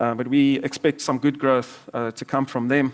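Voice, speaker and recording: In a South African accent, a man talks at a fairly quick pace with a medium pitch. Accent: South African (Afrikaans) English. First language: Afrikaans. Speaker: investment manager. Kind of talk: presentation to live audience.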